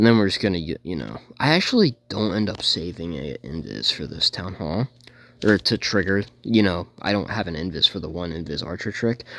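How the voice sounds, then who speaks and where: A man with a very deep, low voice and vocal fry talks at a fairly quick pace with ordinary pitch variation. The recording is very clean, with a silent background. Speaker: gaming youtuber. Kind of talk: gameplay commentary. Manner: fast; casual, halting with self-corrections.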